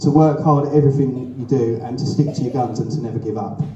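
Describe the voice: A man speaks at a fairly quick pace in a dark, mellow tone with fairly even intonation, and strong room echo surrounds him.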